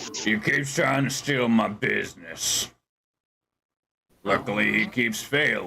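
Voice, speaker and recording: A man puts on a raspy character voice at a medium pitch with lively intonation and very even loudness. He moves at a fairly slow pace with long, frequent pauses. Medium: actual play. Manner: slow, smug.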